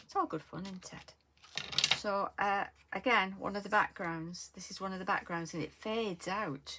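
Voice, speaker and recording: At a moderate pace and medium pitch, a woman talks with ordinary pitch variation over noticeable background noise. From northern England, Lancashire. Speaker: craft tutorial creator. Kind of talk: tutorial. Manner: casual, hesitant with many fillers.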